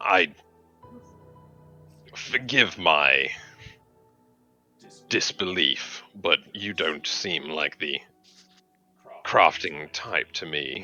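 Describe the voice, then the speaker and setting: Using a put-on character voice, a man speaks at a very slow pace with a very deep, low pitch while faint music plays in the background. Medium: actual play. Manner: courtly, smooth, condescending.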